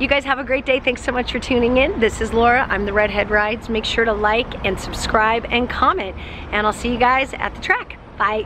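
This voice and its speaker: The speech moves at a fairly quick pace with hardly any pauses, dry with no echo but with noticeable background noise. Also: woman, high pitch for a woman, ordinary pitch variation. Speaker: motorcycle vlogger. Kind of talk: casual vlog chat. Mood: cheerful, smiling. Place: street. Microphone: phone near.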